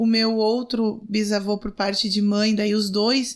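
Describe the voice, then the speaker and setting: A woman with a normal speaking voice and fairly high pitch, at a fairly slow pace, on a very clean recording with a silent background. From Rio Grande do Sul interior, Brazil. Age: 40s. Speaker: city councillor and lawyer. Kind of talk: podcast interview.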